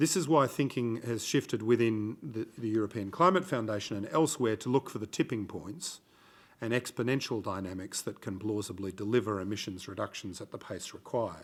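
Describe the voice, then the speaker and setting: A man speaks at a fairly low pitch with an Australian accent. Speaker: conference discussant, former ambassador. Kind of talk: conference talk. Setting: conference room with audience. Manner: frequent fillers and hesitations.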